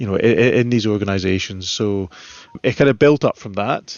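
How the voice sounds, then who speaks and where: In a Scottish accent, a man talks at a fairly quick pace with a fairly low pitch and ordinary pitch variation. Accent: Scottish, relatively soft. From central Scotland. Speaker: solutions architect. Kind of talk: podcast interview. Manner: halting, many fillers and repeats.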